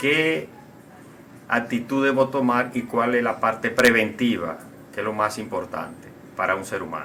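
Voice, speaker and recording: A man's medium-pitched voice at a fairly slow pace, with ordinary pitch variation, long, frequent pauses and music in the background. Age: 60s. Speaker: doctor. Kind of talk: recorded question.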